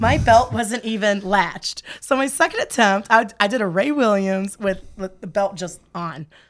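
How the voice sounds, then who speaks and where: Lively intonation from a woman at medium pitch, moderate pace and hardly any pauses. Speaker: guest, strength athlete. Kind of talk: casual chat.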